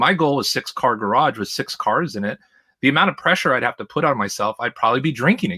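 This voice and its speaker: A man with an American accent talks at a very fast pace in a bright, sharp tone with vocal fry and very wide pitch swings. The sound is dry and close, with no echo. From Southern California. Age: 40s. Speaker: magazine publisher. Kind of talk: casual interview.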